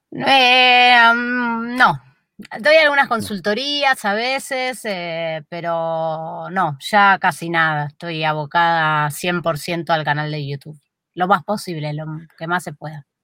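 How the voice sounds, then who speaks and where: Over a very clean recording with a silent background, a woman speaks at a very slow pace in a fairly low pitch, with very wide pitch swings and big swings in loudness. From Buenos Aires, Argentina (Flores). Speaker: YouTube creator. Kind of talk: interview conversation.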